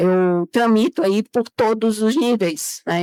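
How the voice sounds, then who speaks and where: The recording of this woman is very clean, with a silent background and a dry, close sound that has no echo. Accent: Bahian. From Bahia, Brazil. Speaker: chemical engineer. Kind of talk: interview.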